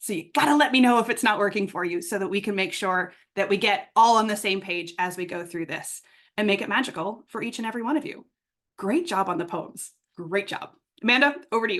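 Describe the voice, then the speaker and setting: Over a quiet background, a woman with a medium pitch talks at a fairly quick pace, her tone animated and her intonation lively. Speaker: workshop facilitator. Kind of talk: online workshop instruction. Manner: fast.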